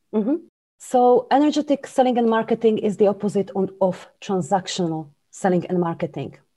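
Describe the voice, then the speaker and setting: With a Slovak accent, a woman talks at a fairly quick pace in a medium-pitched, dark, mellow tone with lively intonation against a quiet background. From Slovakia. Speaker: business coach and author. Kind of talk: interview.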